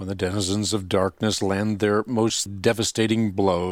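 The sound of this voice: An unforced voice reading aloud, its intonation fairly even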